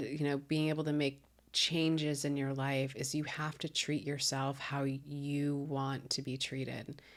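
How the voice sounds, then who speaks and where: Someone with an American accent speaks on a very clean recording against a silent background. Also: woman. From Chicago suburbs. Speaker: comedian. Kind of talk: casual chat.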